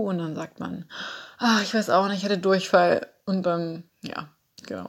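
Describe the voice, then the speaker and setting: An ordinary speaking voice from a woman, medium in pitch and fairly slow in pace. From Saxony, Dresden. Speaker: flatmate of host. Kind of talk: personal account.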